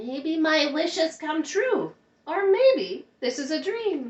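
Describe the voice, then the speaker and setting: A woman's put-on character voice, extremely high in pitch, at a very slow pace. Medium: read story.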